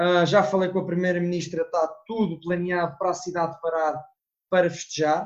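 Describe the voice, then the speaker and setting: A man's high voice in a monotone, flat intonation. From Portugal. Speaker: student abroad. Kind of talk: casual chat.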